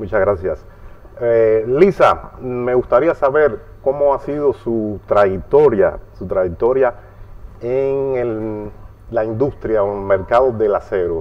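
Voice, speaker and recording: A man speaks at a very slow pace with noticeable background noise around him. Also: medium pitch for a man, ordinary pitch variation. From Cuba. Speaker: interviewer. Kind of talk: interview.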